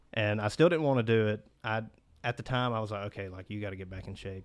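With a Mississippi accent, the speaker talks at a very fast pace with fairly even intonation against a quiet background. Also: man. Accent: US Southern (Mississippi). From Mississippi Delta (Cleveland). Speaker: dental student. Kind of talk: casual interview.

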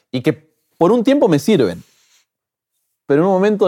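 A man with a dark, mellow tone, a very fast pace and very wide pitch swings. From Argentina, Buenos Aires. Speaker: pastor and social media creator. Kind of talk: interview. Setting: in-person interview.

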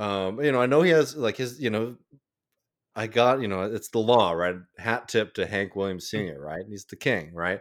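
With an American accent, a man speaks at a moderate pace in an unremarkable speaking voice, his pitch fairly low and his intonation lively. His loudness swings widely, and the very clean recording has a silent background. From Texas, Austin. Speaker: podcaster. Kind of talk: casual chat.

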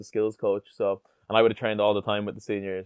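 A fairly low-pitched man with an Irish accent, on a very clean recording with a silent background. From Ireland, Tipperary. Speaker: rugby player. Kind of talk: interview. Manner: hesitant, many fillers.

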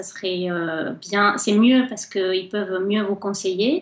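A woman's medium-pitched voice with fairly even intonation, at a very slow pace amid noticeable background noise. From Colombia, Cali. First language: Spanish (speaking French). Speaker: guest. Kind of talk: radio interview.

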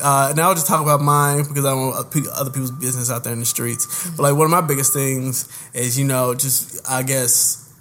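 The speaker has an American accent and fairly even intonation. Noticeable background noise sits behind the voice. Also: man. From Indianapolis, Indiana. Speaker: podcast co-host. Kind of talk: casual chat.

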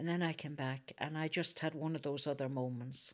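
In a Northern Irish accent, a woman speaks with a very deep, low pitch. Her pace is moderate and her intonation fairly even. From Northern Ireland, Fermanagh. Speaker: activist. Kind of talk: interview.

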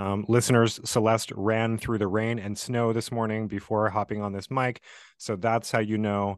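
Against a quiet background, a man speaks at a moderate pace and a medium pitch. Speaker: podcast host, writing educator. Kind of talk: interview conversation. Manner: halting, many fillers.

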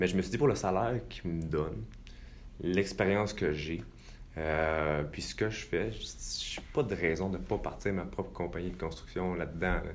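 With audible room echo, a man speaks in a very deep, low voice. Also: ordinary pitch variation, moderate pace. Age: 20s. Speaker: real estate investor. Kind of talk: interview. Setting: studio.

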